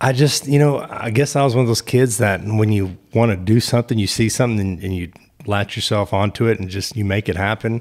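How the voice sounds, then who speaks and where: Talking with a Texas accent, a man with a fairly low pitch speaks at a fairly quick pace with ordinary pitch variation. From Texas (Killeen, central Texas). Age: 40s. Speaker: state trooper. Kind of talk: casual interview chat.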